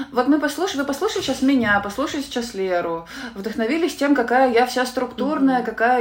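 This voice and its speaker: A woman talks at an even, middling speed, her pitch rising and falling in a usual way, with background noise clearly present. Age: 30s. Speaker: sales expert for freelancers. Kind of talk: podcast interview.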